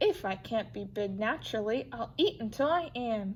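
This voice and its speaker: Putting on a character voice, a woman speaks at a moderate pace with lively intonation and a fairly high pitch, with clear background noise behind her. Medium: read story. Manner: eager, earnest.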